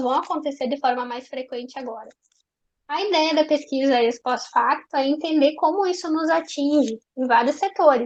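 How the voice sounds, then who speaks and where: Talking at a moderate pace, this woman has a high voice. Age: young, early career. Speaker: education researcher and seminar speaker. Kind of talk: academic seminar talk. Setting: online seminar, speaking seated.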